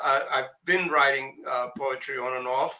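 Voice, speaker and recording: A man with a Russian accent talks at a fairly slow pace and a fairly high pitch. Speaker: poet. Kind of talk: casual chat. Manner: halting.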